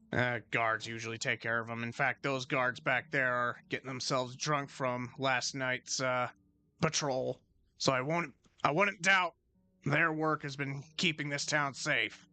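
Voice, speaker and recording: A man puts on a raspy character voice at a medium pitch. He speaks at a moderate pace. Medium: actual play. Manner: gruff, weary.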